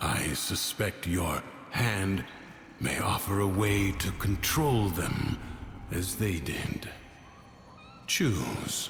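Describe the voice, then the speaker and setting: Over clear background noise, a man in a put-on character voice speaks very slowly at a fairly low pitch, with long, frequent pauses. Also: lively intonation. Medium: fan dub. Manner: measured, calm.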